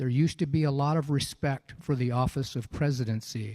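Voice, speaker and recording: A man speaks at medium pitch in an unremarkable speaking voice, with fairly even intonation. The sound is dry and close, with no echo. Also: very clean recording, silent background. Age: 60s. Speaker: congressional candidate. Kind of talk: campaign closing statement.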